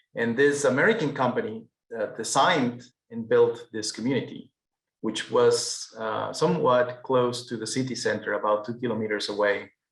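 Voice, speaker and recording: Speaking with a Peruvian accent, a man talks at a moderate pace. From Peru, Andes. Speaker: architect. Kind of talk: webinar presentation. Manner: hesitant, frequent repetitions.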